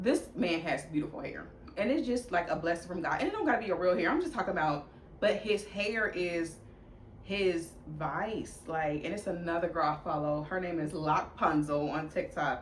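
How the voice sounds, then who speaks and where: With audible room echo and noticeable background noise, a fairly low-pitched woman talks at a moderate pace. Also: ordinary pitch variation. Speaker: fashion vlogger. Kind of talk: casual chat. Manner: loud; animated.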